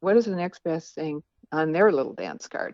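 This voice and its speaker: Ordinary pitch variation runs through a woman's speech in an unremarkable speaking voice. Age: 60s. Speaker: author. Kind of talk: interview.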